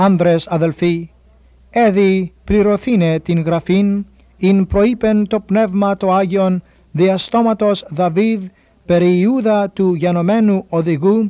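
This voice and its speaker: Speaking very slowly, a man uses a high pitch and a dark, mellow tone, with fairly even intonation and very even loudness. The sound is dry and close, with no echo. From Cyprus. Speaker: New Testament scholar. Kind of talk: scripture reading.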